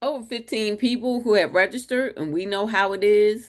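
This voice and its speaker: Here a woman speaks loudly. Her tone is animated. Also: quiet background. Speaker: webinar host and marketing coach. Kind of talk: webinar presentation.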